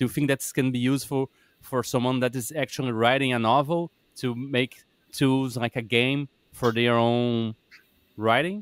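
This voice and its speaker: A man talks at a moderate pace, the sound dry and close with no echo. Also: medium pitch for a man, fairly even intonation. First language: not English. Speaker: podcast host. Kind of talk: podcast interview. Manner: halting.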